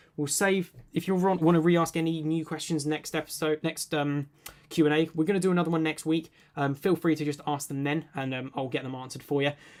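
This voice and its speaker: A man's very fast speech in a British accent, fairly high in pitch, with fairly even intonation. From UK. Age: 20s. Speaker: tech YouTuber. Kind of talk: live stream Q&A. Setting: live stream. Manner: casual, many filler words.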